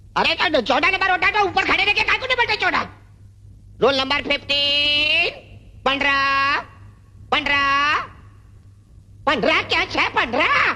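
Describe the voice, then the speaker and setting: A high-pitched, put-on character voice at a moderate pace, broken by long, frequent pauses. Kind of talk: comic overacting. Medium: short film. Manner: scolding, comic.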